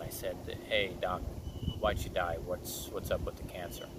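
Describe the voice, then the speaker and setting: A man's voice, dry with no echo, over loud background noise. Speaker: wellness coach. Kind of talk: channel intro monologue. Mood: calm, earnest. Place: waterside. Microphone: phone near.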